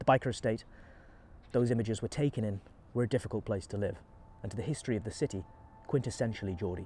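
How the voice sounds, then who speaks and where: A somewhat breathy man with a dark, mellow tone speaks at a very fast pace, broken by long, frequent pauses. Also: medium pitch for a man, ordinary pitch variation. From Newcastle, England. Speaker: travel vlogger, video essayist. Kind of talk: reflective documentary narration. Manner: reflective, introspective.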